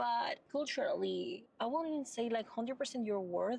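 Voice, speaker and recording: A woman at a moderate pace with a Venezuelan accent. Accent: Venezuelan, people mishear it as Minnesota. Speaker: mental health advocate. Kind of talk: casual chat.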